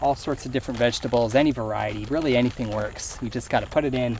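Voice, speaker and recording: At a very fast pace, a man with medium pitch and fairly even intonation speaks over noticeable background noise. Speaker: gardening YouTuber. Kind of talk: tutorial.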